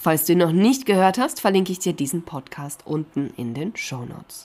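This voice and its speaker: A woman speaking at a fairly slow pace. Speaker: podcast host on social media marketing. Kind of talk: interview; scripted intro.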